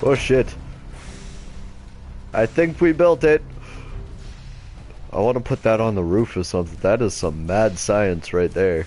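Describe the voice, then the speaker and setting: Over music in the background, the speaker goes at a fairly slow pace with long, frequent pauses and very wide pitch swings. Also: man, fairly low pitch for a man. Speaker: game streamer. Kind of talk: let's play commentary. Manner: quiet; casual, profane.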